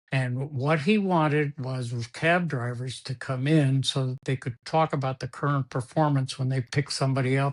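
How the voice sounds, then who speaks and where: At a fairly slow pace, a man of medium pitch speaks with fairly even intonation and a somewhat breathy voice. The sound is dry and close with no echo, against a quiet background. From Cuba. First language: Spanish. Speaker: sports executive. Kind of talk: interview. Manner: halting, repeats words.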